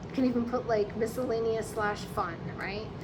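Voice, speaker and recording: The woman talks at a medium pace. Behind her, background noise is noticeable. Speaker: budget planner seller. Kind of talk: casual talk to camera.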